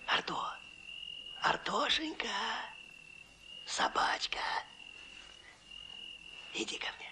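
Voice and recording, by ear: Whispering in a put-on character voice, the speaker goes at a very slow pace with long, frequent pauses. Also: man.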